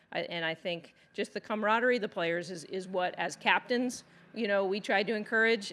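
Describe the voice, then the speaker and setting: A woman talks at a moderate pace. Her pitch sits in the medium range and varies in an ordinary way. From Texas. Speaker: professional golfer and golf instructor. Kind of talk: press conference. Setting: press conference room. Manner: casual, halting with fillers.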